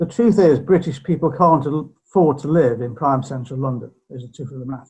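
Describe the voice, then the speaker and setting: A man talks at a fairly quick pace in a fairly high, somewhat breathy voice, his loudness swinging widely. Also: ordinary pitch variation. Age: 60s. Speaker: property surveyor. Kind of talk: interview.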